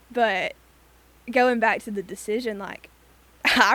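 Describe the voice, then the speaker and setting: A woman speaks in a fairly high pitch. Her tone is animated. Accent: Alabama. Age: 20s. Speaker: university student. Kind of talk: casual chat.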